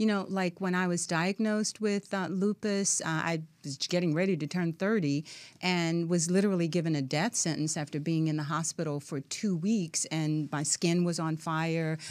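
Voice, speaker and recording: On a very clean recording with a silent background, a woman with a plain, everyday voice speaks at a moderate pace, her pitch fairly low and her intonation fairly even. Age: 60s. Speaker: professor, author and wellness expert. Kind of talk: radio interview. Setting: studio.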